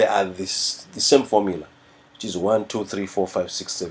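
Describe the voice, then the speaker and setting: A man speaks in a fairly low voice. His pace is moderate. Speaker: music teacher. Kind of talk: tutorial. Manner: halting.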